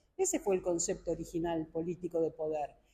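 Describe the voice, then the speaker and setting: A woman's dark, mellow, somewhat breathy voice at a moderate pace. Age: 70s. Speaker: philosopher and academic. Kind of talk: press conference interview. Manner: formal.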